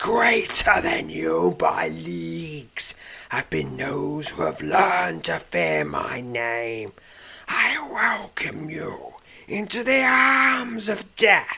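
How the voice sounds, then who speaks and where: Croaky and raspy, a man does a put-on character voice at a medium pitch and a very slow pace. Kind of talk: archaic, formal. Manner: menacing, grandiose, vengeful.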